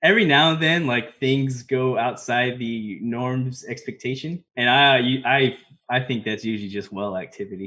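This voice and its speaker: A man talks in an ordinary speaking voice at medium pitch, with ordinary pitch variation and a moderate pace. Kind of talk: casual podcast chat. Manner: informal, laughs often.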